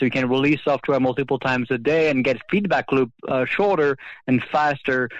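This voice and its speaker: A man talks at a fairly quick pace with a French accent. His pitch sits fairly high. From France. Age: 30s. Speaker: government software executive. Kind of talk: interview. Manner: halting, many fillers.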